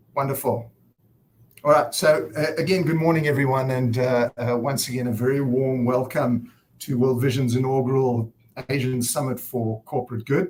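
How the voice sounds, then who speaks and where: A man's somewhat breathy, medium-pitched voice with a South African accent, fairly even intonation and a moderate pace. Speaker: nonprofit director and event host. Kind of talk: conference opening speech. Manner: hesitant, many fillers.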